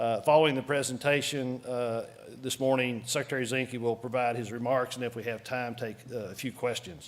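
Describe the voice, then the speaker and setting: With a Texan accent, a man talks at a fairly quick pace. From Texas. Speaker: council chair presiding over meeting. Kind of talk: formal meeting proceedings. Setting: meeting room with audience, webcast. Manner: hesitant, many filler words.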